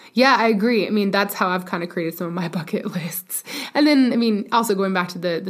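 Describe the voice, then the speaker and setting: Noticeable noise sits behind a woman who talks fairly quickly, her pitch shifting in a typical way. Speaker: mountain runner and podcaster. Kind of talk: casual interview chat.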